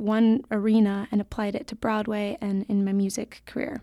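Her fairly high-pitched voice stays in a flat monotone. The woman is heard in a very clean recording with a silent background. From California (South Lake Tahoe). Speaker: former ballerina and singer-songwriter. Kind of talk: motivational talk.

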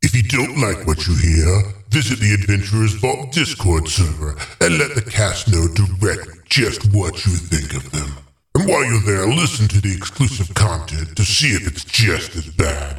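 With a fairly low pitch, a man keeps to a moderate speed. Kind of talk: podcast promo announcement. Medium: actual play. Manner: brisk, wry, mock-threatening at the end.

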